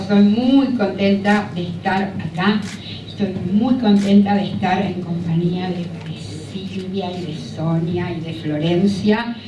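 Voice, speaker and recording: A woman speaks very slowly at a medium pitch, with ordinary pitch variation. Audible room echo and noticeable background noise surround her voice. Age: 70s. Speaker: novelist. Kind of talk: panel discussion. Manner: hesitant fillers.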